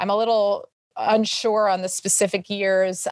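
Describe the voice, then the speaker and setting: Against a quiet background, a woman speaks with an American accent at medium pitch. Her intonation is flat and monotone. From New York City. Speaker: fitness entrepreneur. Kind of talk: interview.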